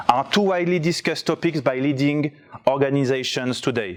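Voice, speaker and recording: With a strong French accent, a man talks at a fairly quick pace, his fairly high pitch showing ordinary variation. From France. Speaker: conference speaker. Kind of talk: presentation talk. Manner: reading from notes.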